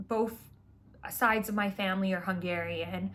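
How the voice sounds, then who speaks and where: A woman speaks with a Canadian accent in a somewhat breathy voice. Her pitch varies in an ordinary way on a very clean recording with a silent background. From Vancouver, Canada. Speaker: spiritual astrology content creator. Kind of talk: casual monologue. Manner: casual, filler-heavy.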